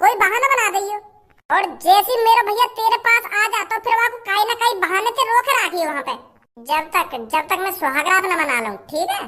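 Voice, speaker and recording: A woman performs a cartoonish character voice with extremely high pitch. Her intonation is lively and her pace fairly quick. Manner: bossy, quick, coaxing.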